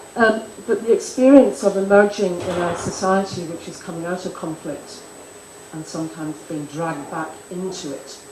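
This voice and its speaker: A woman's medium-pitched voice at a moderate pace, with ordinary pitch variation, big swings in loudness, audible room echo and noticeable background noise. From Ireland. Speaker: conference speaker. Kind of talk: conference panel remarks. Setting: conference in Delhi. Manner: halting, many fillers; formal.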